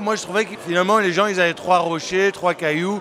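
A man speaks in a high pitch. There is noticeable background noise. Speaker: city tour guide. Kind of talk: interview.

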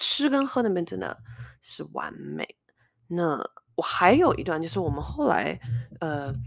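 The recording is very clean with a silent background as this woman talks at a fairly slow rate. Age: 30s. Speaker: podcast host. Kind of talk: casual solo monologue.

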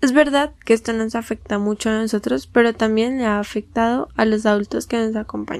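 Delivered at a fairly quick pace with hardly any pauses and fairly even intonation, an unremarkable speaking voice comes through on a very clean recording with a silent background. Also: woman, fairly high pitch for a woman. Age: young. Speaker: student podcast host. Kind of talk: interview. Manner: formal.

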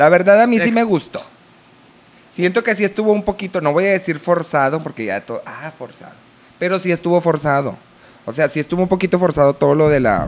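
A man speaks with a Mexican accent at a high pitch. His pace is fairly quick and his intonation lively. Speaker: podcast host, children's entertainer and producer. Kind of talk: casual chat.

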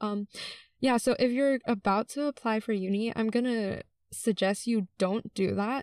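An ordinary speaking voice at a moderate pace with fairly even intonation, dry and close with no echo, on a very clean recording with a silent background. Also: woman, fairly high pitch for a woman. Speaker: student podcast co-host. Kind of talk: casual chat.

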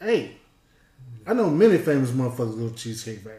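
Talking at a very fast pace, a man of medium pitch uses lively intonation in a dark, mellow, somewhat breathy tone, with audible room echo. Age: 40s. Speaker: podcast co-host, retired. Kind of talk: casual chat.

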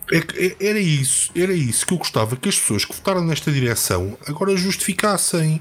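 With a European Portuguese accent, a man speaks high-pitched and fairly fast, his intonation lively and hardly any pauses, over noticeable background noise. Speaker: football podcast co-host. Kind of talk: casual chat.

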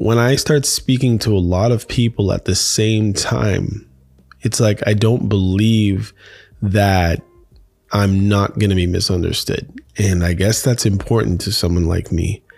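Music plays in the background while the voice keeps very even loudness and ordinary pitch variation. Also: man, fairly low pitch for a man. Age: 50s. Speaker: podcast host. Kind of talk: casual monologue. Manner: casual, laughs often.

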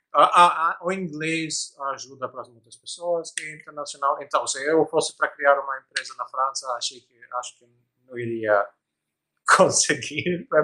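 A man with a fairly high pitch and an Albanian accent speaks in a bright, sharp tone. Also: ordinary pitch variation, moderate pace, big swings in loudness. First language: Albanian (speaking Portuguese). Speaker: tech startup founder. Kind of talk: interview. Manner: halting, many fillers and repetitions.

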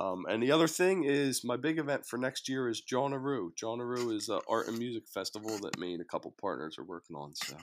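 A man at a medium pitch, with very wide pitch swings, a very fast pace and hardly any pauses. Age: 40s. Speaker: sticker artist. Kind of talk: casual chat. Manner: halting, laughs often.

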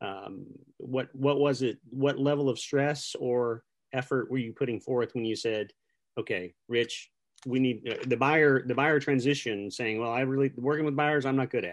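A man's unremarkable speaking voice, medium in pitch, at a moderate pace against a quiet background. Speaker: real estate podcast host. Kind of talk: casual interview chat. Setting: video call. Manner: upbeat, friendly.

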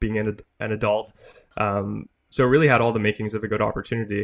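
In a Canadian accent, a man with a fairly low voice speaks very fast in a monotone, flat delivery. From eastern Canada. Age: young. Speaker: 3D printing business owner. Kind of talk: interview. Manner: hesitant with many fillers.

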